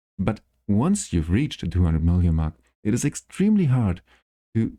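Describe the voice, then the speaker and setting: This man has a dark, mellow tone. He speaks with a non-native accent at a fairly low pitch. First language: not English. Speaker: gaming YouTuber. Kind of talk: tutorial. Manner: halting.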